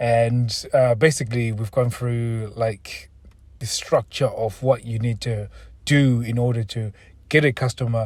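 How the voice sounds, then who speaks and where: Somewhat breathy, a man speaks at a fairly slow pace and medium pitch with monotone, flat intonation. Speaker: podcast host. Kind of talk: tutorial.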